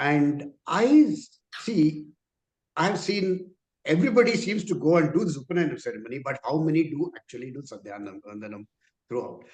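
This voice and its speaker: The voice carries vocal fry and very wide pitch swings at a moderate pace. Loudness rises and falls sharply, with long, frequent pauses. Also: man, fairly high pitch for a man. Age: 60s. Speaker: participant. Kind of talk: question in a discussion.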